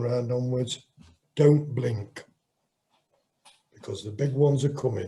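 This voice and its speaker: The voice, somewhat breathy and in an East Midlands accent, moves at a fairly slow pace with ordinary pitch variation. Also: man. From Nottinghamshire, England. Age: 60s. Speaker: boxer. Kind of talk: interview.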